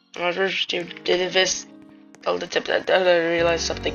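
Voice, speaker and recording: The talking proceeds at a moderate pace. Behind it, music plays. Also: woman. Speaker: video game player. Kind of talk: gameplay strategy explanation. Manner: casual.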